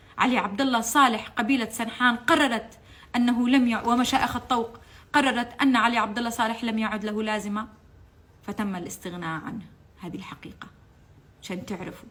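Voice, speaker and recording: With a Yemeni accent, a woman talks at a moderate pace. Her voice is fairly high and her tone animated. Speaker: political commentator, former TV channel staff. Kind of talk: impassioned political monologue. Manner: animated, emotional; halting, repeats words.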